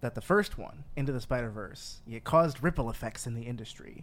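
This is an ordinary speaking voice from a man. He talks at a fairly quick pace with lively intonation. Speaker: podcast host. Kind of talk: casual chat.

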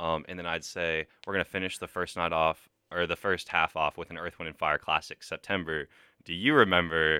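On a very clean, dry, close recording with a silent background and no echo, a man speaks with an American accent. His very deep, low voice has a bright, sharp tone, fairly even intonation and a fairly quick pace. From Texas, Dallas. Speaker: college student. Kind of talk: casual chat. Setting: studio.

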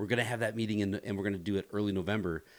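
On a very clean recording with a silent background, a man with an American accent speaks in a fairly low pitch. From US Midwest, rural northeast Ohio. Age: 40s. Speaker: pastor. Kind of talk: podcast interview.

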